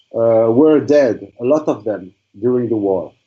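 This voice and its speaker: A man speaks with a French accent in a dark, mellow tone. His pace is fairly slow. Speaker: student in an imam training course. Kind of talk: class presentation in online seminar. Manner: halting, many fillers and repetitions.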